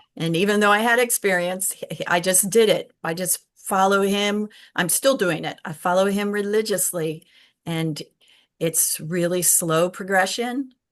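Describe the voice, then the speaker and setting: A woman with an American accent speaks in a plain, everyday voice at a fairly slow pace, medium in pitch with ordinary pitch variation. The background is quiet. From Virginia, US. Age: 60s. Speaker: documentary filmmaker. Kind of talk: interview. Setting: live stream.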